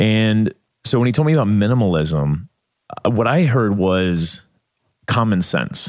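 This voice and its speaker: A man with a Midwestern American accent speaks at a fairly slow pace in a fairly low voice. His pitch swings very widely while his loudness stays very even. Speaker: author and documentary maker. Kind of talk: podcast interview.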